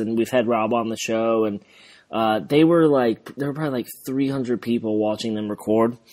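This man talks at a medium pitch with an American accent. His pitch varies in an ordinary way. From southern England. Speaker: football podcast co-host. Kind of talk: casual chat. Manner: animated.

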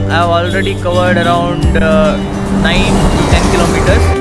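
Dry sound with no echo over loud background music. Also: man. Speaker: motovlogger. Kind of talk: casual vlog chat. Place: street. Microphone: phone near.

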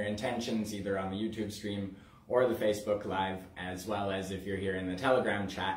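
Audible room echo colors a man's fairly low voice. His intonation stays monotone and flat. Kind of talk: spiritual livestream talk. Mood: calm, warm, laughing. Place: home room. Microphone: camera far.

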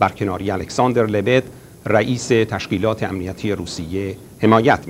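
A man's medium-pitched voice with ordinary pitch variation over light background noise. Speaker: news announcer. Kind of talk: news reading. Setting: studio. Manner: formal. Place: studio.

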